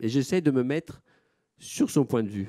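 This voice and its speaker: Against a quiet background, the voice has a dark, mellow tone and lively intonation. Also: man. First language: Italian (speaking French). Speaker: gallery director; moderator or curator presenting the artist. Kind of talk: panel moderation. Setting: auditorium with audience. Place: hall. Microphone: microphone problems.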